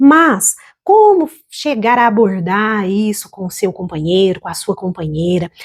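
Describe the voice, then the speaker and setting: A woman with a plain, everyday voice, medium pitch and lively intonation at a fairly slow pace. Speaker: financial educator and small business consultant. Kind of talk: educational talk to camera about couples' finances. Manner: calm, warm, measured.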